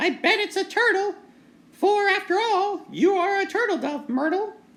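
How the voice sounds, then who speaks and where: A put-on character voice at an extremely high pitch. It sounds squeaky. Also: moderate pace. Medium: read story. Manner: blurting, brash.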